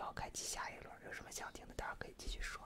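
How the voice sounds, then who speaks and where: A man whispers at a very fast pace. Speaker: livestream host, ASMR streamer. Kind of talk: casual livestream chat with viewers. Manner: soft close-mic ASMR talking voice. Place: home room. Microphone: studio mic.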